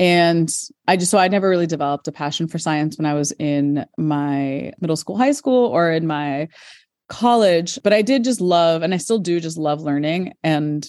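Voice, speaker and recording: With an American accent and a plain, everyday voice, a woman talks at a moderate pace and a fairly low pitch, with ordinary pitch variation against a quiet background. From United States. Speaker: high school science teacher. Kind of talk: interview. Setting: school, between classes.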